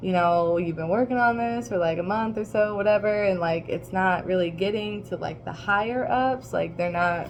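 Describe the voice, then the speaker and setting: Moderate pace with hardly any pauses, plus noticeable background noise and audible room echo. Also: woman, medium pitch for a woman, ordinary pitch variation. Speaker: tarot reader. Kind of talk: tarot reading livestream. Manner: casual, rambling with fillers.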